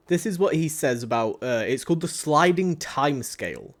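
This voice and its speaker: A man with a Yorkshire accent talks at a fairly slow pace, his fairly high voice showing ordinary pitch variation. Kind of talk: casual conversational.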